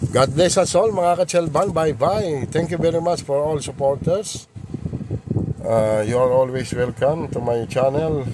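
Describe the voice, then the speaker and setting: The sound is dry with no echo, and there is noticeable background noise. A man speaks at a fairly high pitch. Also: ordinary pitch variation, fairly slow pace. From Philippines. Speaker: car rental vlogger showing vehicles. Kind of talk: street seller pitchman. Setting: in a car, walkaround video. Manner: upbeat, promotional, animated; halting, repeats filler words. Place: car. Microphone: phone near.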